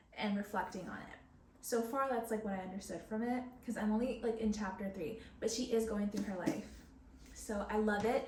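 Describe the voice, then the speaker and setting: A woman talks at a fairly quick pace in a fairly high voice with ordinary pitch variation, audible room echo and noticeable background noise. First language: Spanish. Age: 20s. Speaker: book vlogger. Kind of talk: casual chat. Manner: hesitant, filler-heavy.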